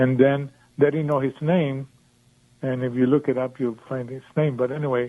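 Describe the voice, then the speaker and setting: Flat and monotone, a man's voice holds a medium pitch throughout. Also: moderate pace. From Mexico. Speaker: caller, patient. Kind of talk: call-in radio chat. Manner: halting, many fillers.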